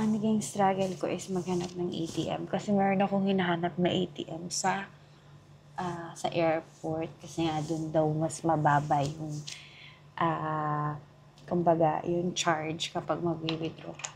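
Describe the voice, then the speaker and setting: Soft-spoken and somewhat breathy, a woman talks at a fairly slow pace and fairly low pitch with fairly even intonation. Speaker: travel vlogger. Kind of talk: casual vlog chat. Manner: soft-spoken, lowered voice.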